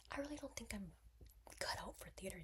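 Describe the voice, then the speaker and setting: A woman speaks with an American accent. Her voice is soft-spoken. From East Coast, US. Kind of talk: casual talk to camera.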